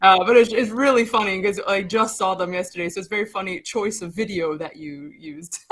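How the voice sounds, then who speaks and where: With an American accent, a woman speaks fairly quickly at a medium pitch with ordinary pitch variation and hardly any pauses. Her loudness swings widely, and background noise is noticeable. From New York. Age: 30s. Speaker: singer. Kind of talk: casual chat.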